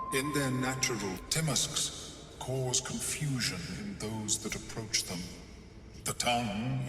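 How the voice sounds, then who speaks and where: A man's put-on character voice at medium pitch, with clear echo and loud background noise. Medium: video game. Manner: calm, formal, polite.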